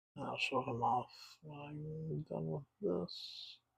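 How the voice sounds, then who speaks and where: A man speaks in a soft-spoken way. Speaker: miniature painting hobbyist. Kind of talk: casual tutorial narration. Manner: soft-spoken, quiet; halting.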